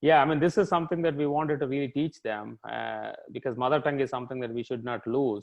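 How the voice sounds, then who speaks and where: This man has an Indian accent and a fairly high pitch with ordinary variation. He talks at a very fast pace with hardly any pauses. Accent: Indian English (Telugu). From India, Telugu-speaking region. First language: Telugu. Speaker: tech executive. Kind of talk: interview.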